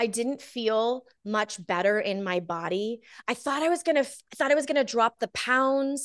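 A woman with an ordinary speaking voice talks at a moderate pace, her fairly high pitch moving with lively intonation. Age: 40s. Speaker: small business strategist and wellness entrepreneur. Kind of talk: casual interview chat.

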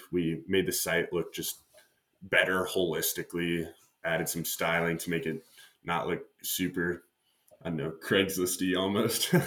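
Speaking fairly slowly with long, frequent pauses, a man with a Midwestern American accent has a very deep, low pitch, a bright, sharp tone and monotone, flat intonation. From US Midwest, Nebraska. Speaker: startup founder and CEO. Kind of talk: interview.

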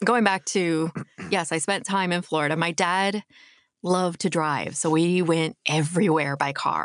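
In an ordinary speaking voice, a woman with a fairly low pitch talks at a fairly slow pace with very even loudness and fairly even intonation, the sound dry and close with no echo against a quiet background. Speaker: voice actor. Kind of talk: casual chat.

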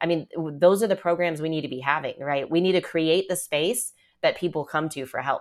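This woman has a plain, everyday voice, pitched fairly low with ordinary pitch variation, in a very clean recording with a silent background. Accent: American. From Texas, Dallas area. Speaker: trafficking survivor and lawyer. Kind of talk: interview testimony.

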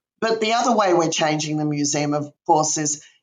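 This woman has an Australian accent. She speaks with a very deep, low pitch. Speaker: museum director. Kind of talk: interview.

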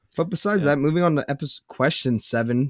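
A man speaks very fast in a fairly high voice with lively intonation, the sound dry and close with no echo. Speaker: podcast host. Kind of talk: casual chat.

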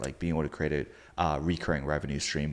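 A man speaks at a fairly quick pace with vocal fry. The recording is very clean, with a silent background. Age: young. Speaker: podcast host. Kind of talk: interview conversation.

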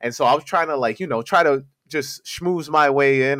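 Bright and sharp in tone, a man with an American accent speaks in a dry, close sound with no echo. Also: very clean recording, silent background. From Queens, New York City. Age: 30s. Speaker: sneaker podcast host. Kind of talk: casual chat.

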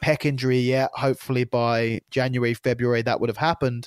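Someone with an English accent speaks at a fairly quick pace. The sound is dry, close and very clean, with no echo and a silent background. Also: man. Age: 30s. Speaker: jiu-jitsu competitor. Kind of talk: casual chat.

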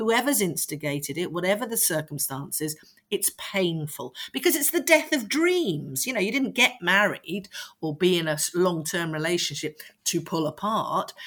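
A woman's medium-pitched voice with very wide pitch swings at a moderate pace. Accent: London. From London (Streatham). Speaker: parenting coach. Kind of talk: interview.

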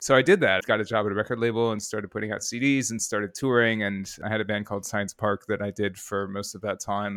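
The speech comes at a very fast pace with an American accent. The recording is very clean with a silent background and a dry, close sound with no echo. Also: man. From US Midwest (Rockford, Illinois). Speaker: audio producer. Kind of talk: interview conversation.

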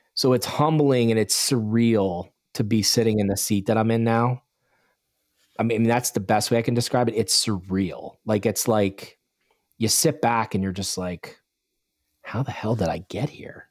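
He is a man with an American accent and a medium pitch. He talks at a moderate pace with ordinary pitch variation. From Bucks County, Pennsylvania. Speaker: snow removal business owner. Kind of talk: podcast interview. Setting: video call.

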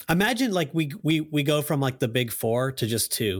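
In a plain, everyday voice with an American accent, a man talks at a moderate pace with lively intonation on a very clean recording with a silent background. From US South. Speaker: gaming podcast panelist. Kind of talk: casual chat.

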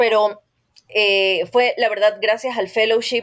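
A woman speaks at a medium pitch and a fairly slow pace, in an ordinary speaking voice. The recording is very clean, with a silent background. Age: 40s. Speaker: journalist. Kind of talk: interview.

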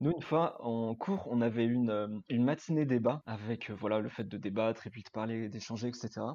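A man talks at a medium pitch with a dark, mellow tone and ordinary pitch variation. His pace is moderate, with hardly any pauses and big swings in loudness. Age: 20s. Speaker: project manager, student ministry member. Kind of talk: casual chat.

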